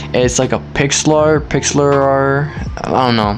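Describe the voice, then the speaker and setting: A man talks with ordinary pitch variation while noticeable background noise can be heard. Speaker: amateur photographer YouTuber. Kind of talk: casual Q&A vlog. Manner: hesitant, fillers and restarts.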